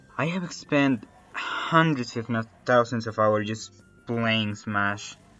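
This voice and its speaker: Over music in the background, a man with a Latin American accent speaks at a very slow pace with ordinary pitch variation. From Colombia (Antioquia region). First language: Spanish. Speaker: animator, YouTuber. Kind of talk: story time narration. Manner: casual, conversational.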